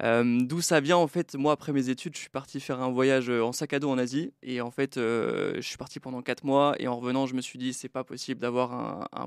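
At a fairly quick pace with hardly any pauses, a man of medium pitch speaks with fairly even intonation, the sound dry and close with no echo in a very clean recording with a silent background. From France, Brittany and Troyes. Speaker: book publisher. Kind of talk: podcast interview. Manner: halting.

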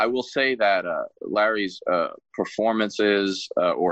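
The sound is dry and close, with no echo. A man with a fairly low pitch speaks at a moderate pace. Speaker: podcast host and military veteran. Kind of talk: podcast interview. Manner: halting.

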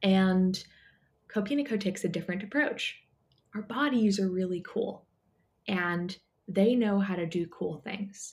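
The speech is somewhat breathy and fairly slow, broken by long, frequent pauses, with ordinary pitch variation. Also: woman, medium pitch for a woman. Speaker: wellness company founder. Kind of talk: casual interview chat. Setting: remote call.

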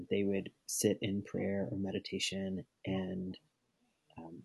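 Spoken at a very slow pace in a flat monotone, the voice has a dark, mellow tone and a dry, close sound with no echo. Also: man. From Arkansas. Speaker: seminary student. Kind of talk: casual chat.

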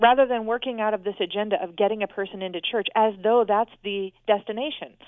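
A woman with a West Coast accent speaks at a moderate pace with ordinary pitch variation. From US Northwest, Portland, Oregon. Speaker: author and researcher. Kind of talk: interview.

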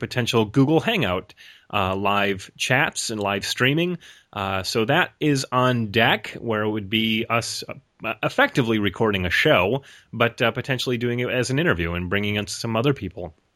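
A man at medium pitch with an American accent, a bright, sharp tone, ordinary pitch variation and a moderate pace, in a very clean recording with a silent background. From Rochester, New York. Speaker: podcast co-host. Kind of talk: casual chat.

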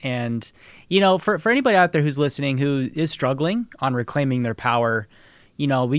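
With an American accent, a man talks at a fairly quick pace in an unremarkable speaking voice of medium pitch, captured in a very clean recording with a silent background. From Nebraska, US Midwest. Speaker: podcast host and producer. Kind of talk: interview.

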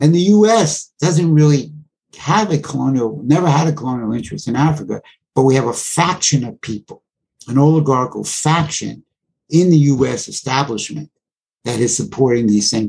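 A man with an American accent speaks at a fairly quick pace with lively intonation. His voice is medium in pitch and somewhat breathy. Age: 70s. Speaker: Africa researcher and lecturer. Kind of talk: interview.

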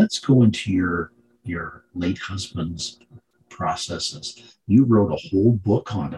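A somewhat breathy man at a fairly low pitch, with ordinary pitch variation and big swings in loudness. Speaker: podcast host. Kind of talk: interview.

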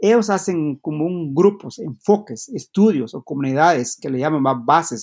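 Recorded dry and close with no echo, a man speaks fairly slowly in a fairly high pitch with lively intonation. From Guatemala, Maya community. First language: Q'anjob'al (Mayan language) (speaking Spanish). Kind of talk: interview. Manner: halting.

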